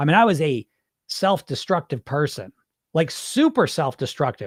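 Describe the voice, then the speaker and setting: In a very clean recording with a silent background, a man talks in an animated tone with very wide pitch swings, the sound dry and close with no echo. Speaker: weight loss hypnotist. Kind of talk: casual monologue. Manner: fast.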